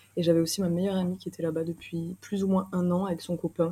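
The voice has a dark, mellow tone and is somewhat breathy. Its intonation is monotone and flat. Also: woman. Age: 20s. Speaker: traveller. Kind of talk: interview. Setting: hostel common room.

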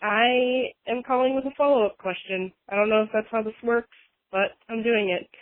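Ordinary pitch variation in a fairly high female voice. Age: 20s. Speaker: caller seeking a tarot reading. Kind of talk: voicemail call-in question. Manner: halting, many fillers.

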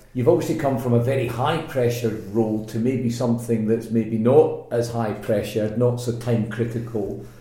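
Speaking with a Scottish accent at a moderate pace, a man with a medium pitch keeps his intonation fairly even and hardly pauses, over noticeable background noise and audible room echo. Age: 40s. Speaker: podcast host. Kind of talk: casual interview chat.

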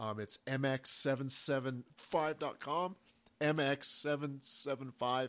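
A man speaks in a fairly high voice at a very slow pace with fairly even intonation. The recording is very clean, with a silent background. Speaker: co-host. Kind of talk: casual chat. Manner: halting.

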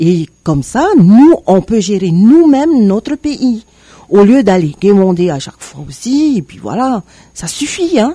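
A woman's somewhat breathy, fairly high voice with a dark, mellow tone, very slow delivery, very wide pitch swings and big swings in loudness. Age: 50s. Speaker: political candidate. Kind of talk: radio interview. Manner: halting, many hesitations.

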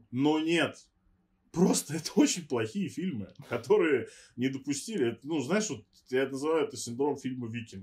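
A man's fairly high, somewhat breathy voice with lively intonation at a moderate pace. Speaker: podcast co-host. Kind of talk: casual chat.

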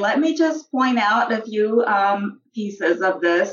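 A woman with a fairly high pitch and lively intonation speaks in an ordinary speaking voice. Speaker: social work professor. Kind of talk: interview with role-play. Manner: formal.

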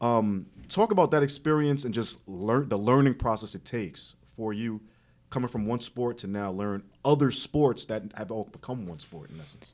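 In a very clean recording with a silent background, a man of medium pitch speaks in a New York accent with lively intonation and big swings in loudness. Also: moderate pace. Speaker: boxing and MMA podcast host. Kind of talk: casual interview, energetic banter. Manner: animated, loud, trash-talking.

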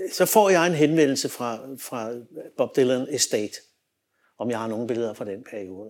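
On a very clean recording with a silent background, a man at medium pitch speaks at a moderate pace with lively intonation, big swings in loudness and long, frequent pauses. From Denmark, Copenhagen western suburbs. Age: 60s. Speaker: music photographer and filmmaker. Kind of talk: interview storytelling. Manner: halting, many fillers and repetitions.

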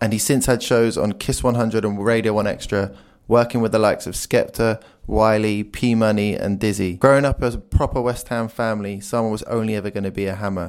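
An ordinary speaking voice delivers fairly even intonation. The recording is very clean, with a silent background. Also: man, fairly low pitch for a man. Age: 30s. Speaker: podcast host. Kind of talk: scripted narration; interview.

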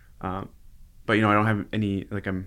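The recording is very clean, with a silent background. A man speaks at a fairly low pitch in an Upper Midwest accent. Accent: Upper Midwest American. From Minnesota, Minneapolis suburbs. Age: 30s. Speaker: community organization director. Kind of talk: casual interview.

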